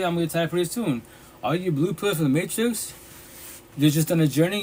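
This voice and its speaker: At a fairly quick pace, a man talks with ordinary pitch variation through noticeable background noise. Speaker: live streamer. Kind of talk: casual livestream monologue. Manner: fast; slurred.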